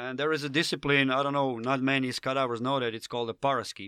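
With a Slavic accent, a man speaks at a medium pitch in a bright, sharp tone, recorded dry and close with no echo. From Slovenia. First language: Slovenian. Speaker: professional skydiver. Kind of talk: casual chat.

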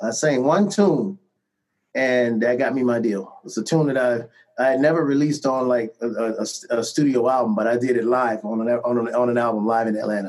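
A man with an American accent has a normal speaking voice at a medium pitch. He talks at a fairly quick pace with ordinary pitch variation. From Cleveland, Ohio. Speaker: singer and musician. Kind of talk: casual interview.

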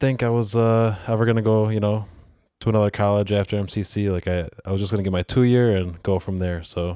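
On a very clean recording with a silent background, a man with an American accent speaks at a fairly quick pace, his fairly low pitch and dark, mellow tone carried by fairly even intonation. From Rochester, New York area. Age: 20s. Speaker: juice bar owner. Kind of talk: interview.

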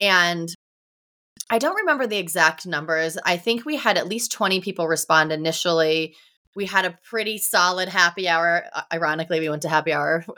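A woman with an American accent talks at a fairly quick pace in a fairly low voice. Her tone is bright and sharp, with ordinary pitch variation. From Ohio, US Midwest. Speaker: entrepreneur and business coach. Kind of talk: podcast interview.

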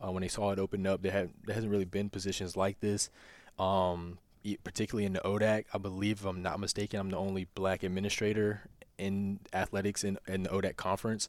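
A man talks at a very fast pace with an American accent, in a monotone with flat intonation. The recording is very clean, with a silent background. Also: fairly low pitch for a man. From Virginia, near Lynchburg. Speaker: university athletics administrator, former NFL player. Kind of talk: interview.

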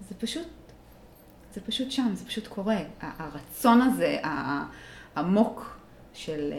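The voice moves in very wide pitch swings amid audible room echo and noticeable background noise. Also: woman. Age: 30s. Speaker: emotional therapist and reiki teacher. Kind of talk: personal testimony in interview. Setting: studio. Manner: hesitant, many fillers.

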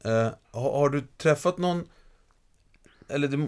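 Lively in intonation, a man talks at a moderate pace and a medium pitch. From Stockholm, Västerort. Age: 50s. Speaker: podcast host, lecturer. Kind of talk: casual chat.

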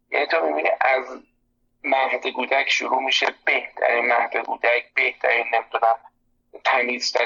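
With a plain, everyday voice, a man keeps to medium pitch, a moderate pace and fairly even intonation. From Iran. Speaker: psychology expert. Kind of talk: interview conversation. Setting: phone call.

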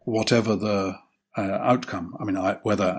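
A man with a British accent and a fairly low pitch. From Britain. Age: old. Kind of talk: casual interview. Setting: video call.

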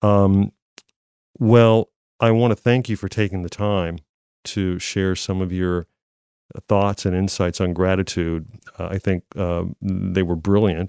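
Speaking with an American accent, a man with a very deep, low pitch and a dark, mellow tone talks at a fairly slow pace with fairly even intonation and long, frequent pauses, on a dry, close sound with no echo. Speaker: podcast host, former radio broadcaster. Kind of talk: interview.

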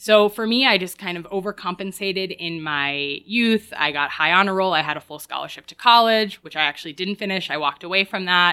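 This woman has an ordinary speaking voice, talking at a fairly quick pace with hardly any pauses, ordinary pitch variation and big swings in loudness. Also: medium pitch for a woman. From Woodstock, New York, US. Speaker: yoga teacher. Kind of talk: interview conversation.

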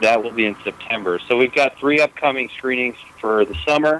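A man with an American accent talks at a fairly quick pace, with ordinary pitch variation. Noticeable background noise runs underneath. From New York / New Jersey area, US. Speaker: film director. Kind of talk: interview. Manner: hesitant, with many fillers.

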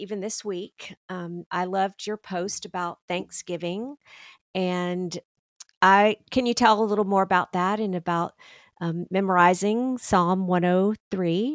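An ordinary speaking voice: a woman at medium pitch, fairly slow and fairly even in intonation, dry and close with no echo, in a very clean recording with a silent background. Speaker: podcast host. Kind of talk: interview conversation.

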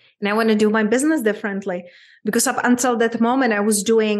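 A woman talks in a Czech accent at a fairly high pitch. Her intonation is fairly even. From Czech Republic, small town. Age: 30s. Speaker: abundance coach. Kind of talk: interview conversation.

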